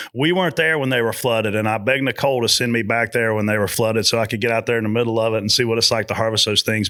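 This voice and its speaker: A man at medium pitch with a Southern US accent. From South Carolina. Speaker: motorsport spotter and video series host. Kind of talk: podcast interview. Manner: animated.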